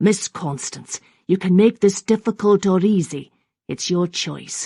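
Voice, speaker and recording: This is a put-on character voice with a growling, middle pitch. The pace is fairly slow. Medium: read story. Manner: firm, commanding.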